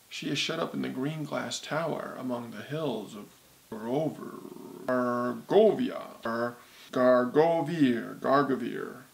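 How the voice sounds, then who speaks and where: A croaky, put-on character voice at a fairly slow pace. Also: man, medium pitch for a man. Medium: read story. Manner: oracular.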